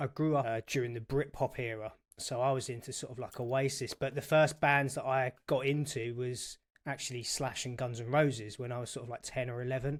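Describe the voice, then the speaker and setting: In a London accent, a man speaks at a medium pitch and a fairly quick pace. His intonation is monotone and flat, on a very clean recording with a silent background. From England, North London. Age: 40s. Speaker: guitarist and accountant, podcast guest. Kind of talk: casual chat.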